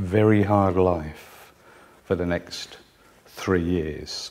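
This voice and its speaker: A man talks with a very deep, low pitch. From southern England, Guildford. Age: 60s. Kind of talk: personal testimony.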